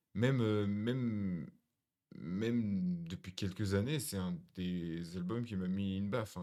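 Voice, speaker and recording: In a fairly low voice, a man talks at a very slow pace. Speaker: music reaction streamer. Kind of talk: music album reaction. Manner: calm; halting, many fillers.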